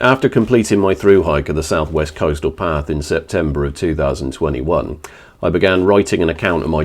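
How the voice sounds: A man speaks at an extremely low pitch and a fairly quick pace. His pitch variation is ordinary.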